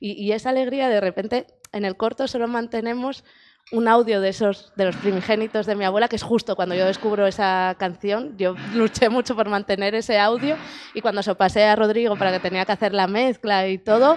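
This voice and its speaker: A woman speaks at a fairly high pitch and a fairly quick pace, with fairly even intonation. The background is quiet. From Asturias, Spain. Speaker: film director. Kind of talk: interview. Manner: halting.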